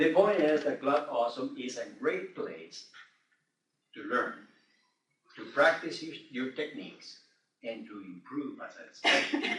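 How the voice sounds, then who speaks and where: A man with a non-native accent at a fairly slow pace, with long, frequent pauses and big swings in loudness. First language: not English. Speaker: Toastmasters club member. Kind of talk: club speech.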